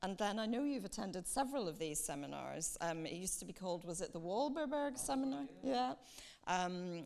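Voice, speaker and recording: With a Northern Irish accent, a woman speaks in a fairly low pitch and lively intonation. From Northern Ireland, County Antrim. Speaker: diplomat. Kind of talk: welcome speech.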